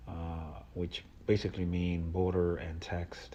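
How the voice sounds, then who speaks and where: Somewhat breathy and dark, mellow in tone, the voice moves fairly slowly with fairly even intonation. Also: man. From Mexico, moved to South Texas at nine. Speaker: poet. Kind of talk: reading introduction. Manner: halting, many uh fillers.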